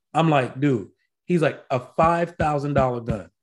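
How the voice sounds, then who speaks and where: A man with a plain, everyday voice, fairly high pitch, ordinary pitch variation and a fairly slow pace. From Virginia Beach, Virginia, US. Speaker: firearms podcast co-host, medical school program director. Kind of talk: casual chat. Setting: video call.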